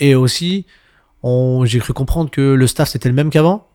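Recorded very cleanly against a silent background, a man with a medium pitch speaks at a moderate pace with ordinary pitch variation. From Montreuil, Paris suburbs, France. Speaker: DJ. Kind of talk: casual interview chat. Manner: halting, many fillers.

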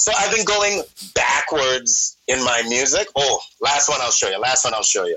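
A man speaks at a moderate pace. Noticeable background noise is present. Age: 30s. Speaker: rapper and cook. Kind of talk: casual chat. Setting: phone call.

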